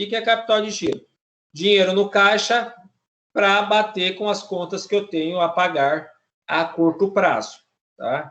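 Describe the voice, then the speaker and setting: Pitch varies in an ordinary way throughout. The delivery keeps a moderate pace. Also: man. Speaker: teacher. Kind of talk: lecture.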